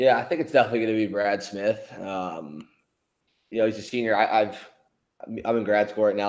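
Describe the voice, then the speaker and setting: Here is a man with an unremarkable speaking voice and an American accent. His pitch is fairly low, and his intonation is fairly even. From Philadelphia. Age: 20s. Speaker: pro lacrosse player. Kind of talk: interview.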